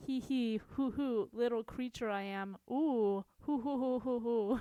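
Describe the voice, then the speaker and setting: Someone puts on a character voice and speaks at a fairly slow pace. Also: female-sounding voice, high pitch for a woman. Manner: giggly, cackling.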